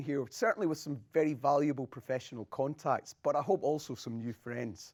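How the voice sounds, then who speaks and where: Fairly quick speech in a Scottish accent, with ordinary pitch variation. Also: man. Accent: Scottish brogue. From Scotland. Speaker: academic game music designer. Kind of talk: lecture.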